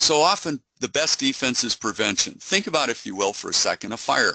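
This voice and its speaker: A bright, sharp voice with lively intonation moves at a fairly quick pace, recorded dry and close with no echo and a quiet background. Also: man. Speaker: cybersecurity company executive. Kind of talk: webinar presentation. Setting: online webinar. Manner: fast.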